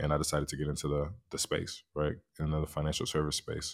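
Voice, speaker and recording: This very clean recording has a silent background. A man with a very deep, low pitch and an American accent talks at a very fast pace. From US West Coast, San Francisco. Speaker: financial advisor. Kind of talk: interview.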